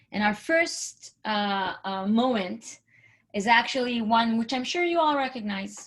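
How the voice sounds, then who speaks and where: A woman speaks with an Israeli accent at a fairly slow pace. Her fairly high voice has lively intonation. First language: Hebrew. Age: 40s. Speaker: entrepreneurship speaker. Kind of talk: presentation.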